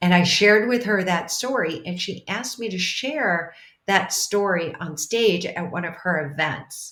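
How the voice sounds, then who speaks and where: A woman with an ordinary speaking voice, medium pitch, ordinary pitch variation and a fairly slow pace. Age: 60s. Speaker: transformational leader and mentor. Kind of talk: interview.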